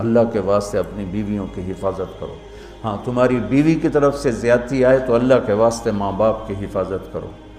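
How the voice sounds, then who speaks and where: With music in the background, a man speaks at medium pitch with ordinary pitch variation. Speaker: Islamic scholar. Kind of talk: religious sermon.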